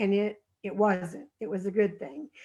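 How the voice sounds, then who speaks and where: Against a quiet background, a woman speaks at a fairly slow pace with a fairly high pitch and fairly even intonation. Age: 60s. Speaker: former client giving a testimonial. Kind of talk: testimony. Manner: halting.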